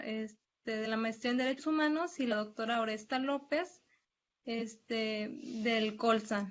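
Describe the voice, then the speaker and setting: A woman's high pitch at a fairly slow pace, with ordinary pitch variation. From Mexico, Tamazunchale, San Luis Potosí. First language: Nahuatl (speaking Spanish). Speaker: graduate student presenter, nurse. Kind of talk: academic presentation. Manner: halting, many fillers.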